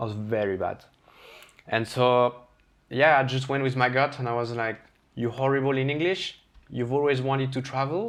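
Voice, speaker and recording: A man in a French accent talks at a medium pitch. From France, Brittany. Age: 30s. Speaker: chef. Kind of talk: casual chat.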